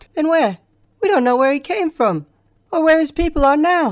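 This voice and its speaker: This is a put-on character voice at a high pitch. It moves at a moderate pace. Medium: read story. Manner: bold, earnest.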